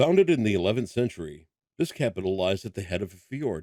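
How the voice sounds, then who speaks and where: A man puts on a strained character voice with a fairly low pitch and lively intonation. He talks at a very fast pace. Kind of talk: narrator. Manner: subtle, restrained narration.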